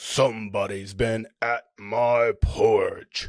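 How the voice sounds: A man puts on a raspy, gruff character voice at a medium pitch. He speaks at a very slow pace.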